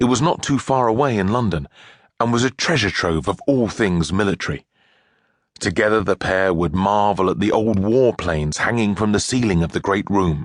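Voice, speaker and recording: An ordinary speaking voice, a man's, fairly low in pitch, at a moderate pace, with lively intonation and very even loudness. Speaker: audiobook narrator. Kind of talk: audiobook narration, children's story.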